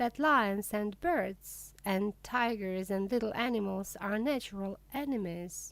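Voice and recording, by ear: The pitch moves in an ordinary way while the speaker is reading aloud in a natural voice.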